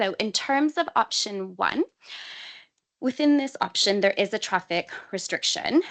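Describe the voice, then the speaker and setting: Here a woman talks at a fairly slow pace in a plain, everyday voice. The background is quiet. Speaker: council transport officer. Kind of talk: committee presentation.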